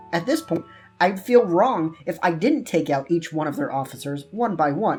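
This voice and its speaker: Over music in the background, a man speaks at a high pitch with lively intonation. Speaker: gaming YouTuber. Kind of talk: scripted comedic gameplay commentary voice-over. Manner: natural, more lively delivery.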